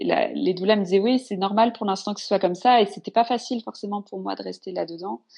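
A woman talks at a very fast pace with hardly any pauses. Her loudness swings a lot. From northern France. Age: 30s. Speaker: mother sharing birth story. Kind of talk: personal testimony.

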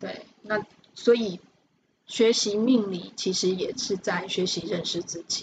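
Very slowly, a woman talks at a medium pitch with fairly even intonation. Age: 50s. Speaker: fortune-telling teacher. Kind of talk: interview.

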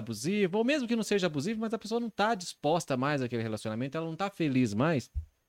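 His pitch swings very widely as the man speaks. The recording is very clean, with a silent background. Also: dry, close sound with no echo. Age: 30s. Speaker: podcast host. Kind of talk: casual chat. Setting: live-streamed studio podcast.

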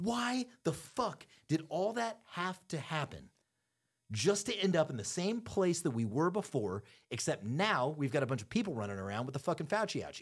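A man with a fairly high pitch speaks in an animated, angry tone with vocal fry. The recording is very clean, with a silent background. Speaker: podcast host. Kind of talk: casual banter podcast chat, profane rant. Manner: animated, rapid, angry, ranting with swearing.

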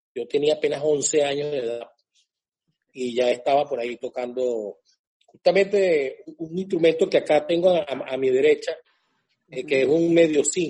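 A man with a dark, mellow tone talks at a moderate pace, his fairly high pitch showing ordinary variation. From Venezuela, Lara state (Barquisimeto). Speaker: cuatro player and singer. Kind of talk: interview conversation.

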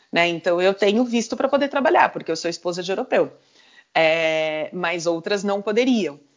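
Lively intonation from a woman with an ordinary speaking voice, delivered at a moderate speed. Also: medium pitch for a woman. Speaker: sports marketing executive and entrepreneur. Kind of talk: interview.

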